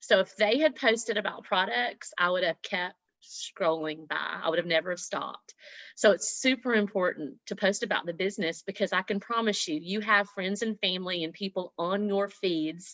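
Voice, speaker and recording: Here a woman speaks with a Southern US accent. Her pace is moderate. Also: medium pitch for a woman, ordinary pitch variation. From US South, Mississippi. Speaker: network marketing leader, former nurse. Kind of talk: motivational talk on team video call. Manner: animated.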